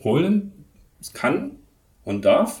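A man speaks in a somewhat breathy voice. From eastern Germany, Leipzig. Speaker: professor of movement and sports education. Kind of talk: interview. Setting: office at a university sports campus.

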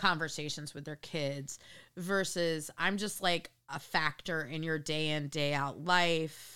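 On a very clean recording with a silent background, a woman with an American accent speaks at a fairly slow pace in a fairly low, bright, sharp tone. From New York, near Connecticut border. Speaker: therapist and podcast host. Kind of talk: casual family chat. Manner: animated.

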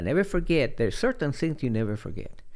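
With a Spanish accent, a man talks on a very clean recording against a silent background. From Chile. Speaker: retired finance executive and former tennis player. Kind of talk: interview storytelling.

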